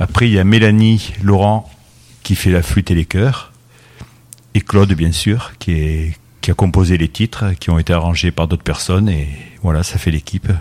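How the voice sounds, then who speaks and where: A man with a very deep, low pitch, very even loudness and long, frequent pauses, in a dry, close sound with no echo. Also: ordinary pitch variation, moderate pace. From Avignon, southern France. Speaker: pianist. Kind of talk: radio interview.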